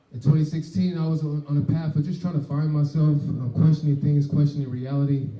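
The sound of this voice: The tone is dark and mellow. Room echo can be heard. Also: man.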